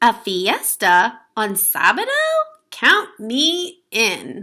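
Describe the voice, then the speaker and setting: A woman's put-on character voice, fairly high in pitch and very slow in pace. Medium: read story.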